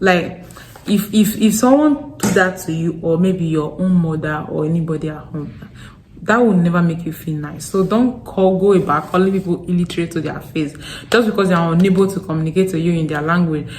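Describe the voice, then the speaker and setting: Speaking at a fairly quick pace with a strong Nigerian Delta accent, a woman uses a fairly low pitch, ordinary pitch variation and an animated tone. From Nigeria, Delta State. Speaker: vlogger. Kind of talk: casual vlog talk. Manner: halting with repetitions.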